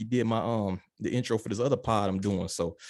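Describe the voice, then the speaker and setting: In a very clean recording with a silent background, a man with a Chicago accent talks at a fairly quick pace with fairly even intonation. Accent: Chicago Midwest twang. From West Side of Chicago, US. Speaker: podcast host. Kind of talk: casual interview chat.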